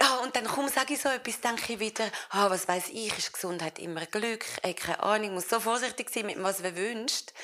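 Noticeable background noise sits under speech that is fairly quick, with ordinary pitch variation. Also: woman, fairly high pitch for a woman. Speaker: actress. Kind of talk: public interview in front of live audience.

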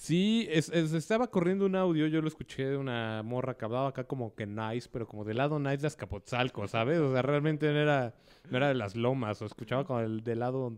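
Against a quiet background, a man with a Mexican accent talks very fast at a medium pitch with lively intonation. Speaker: radio show host. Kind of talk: casual chat.

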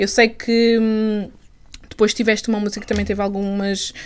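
The speaker is a woman whose pitch is medium. She keeps a moderate pace. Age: 20s. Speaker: podcast host. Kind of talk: casual interview.

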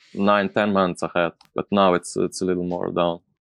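This man has a very deep, low pitch. He speaks with a Slovenian accent. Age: 30s. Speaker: DJ, producer and label owner. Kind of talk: casual interview. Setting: live stream video call. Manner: halting.

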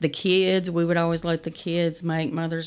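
A woman speaks at a fairly slow pace with an Appalachian accent, recorded very cleanly against a silent background. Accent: Appalachian Kentucky. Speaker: nonprofit founder. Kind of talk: interview. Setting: studio.

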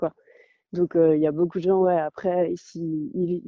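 Using an ordinary speaking voice, a woman talks at a fairly low pitch and a fairly slow pace. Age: 20s. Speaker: traveller. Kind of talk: interview.

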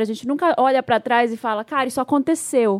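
A woman speaks fairly quickly in a high voice, her intonation lively. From Brazil, Belém. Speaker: podcast co-host. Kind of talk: casual chat.

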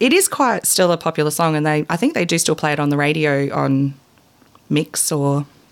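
An Australian accent at a moderate pace, with ordinary pitch variation and very even loudness. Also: woman, very deep, low pitch for a woman. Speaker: guest co-host. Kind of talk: casual chat.

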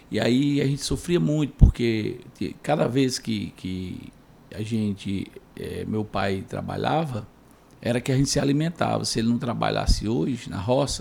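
A man with a dark, mellow tone talks at a fairly slow pace with lively intonation. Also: medium pitch for a man. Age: 40s. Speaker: community leader and former city councillor. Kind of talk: interview.

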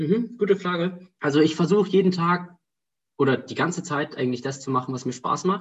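Talking at a fairly quick pace, this man has a high pitch and ordinary pitch variation. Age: 20s. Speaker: student and startup founder. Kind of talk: casual interview.

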